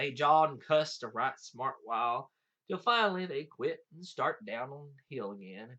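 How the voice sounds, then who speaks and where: This man speaks at a moderate pace with a fairly high pitch, very wide pitch swings and big swings in loudness. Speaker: audiobook reader. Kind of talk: folk tale reading.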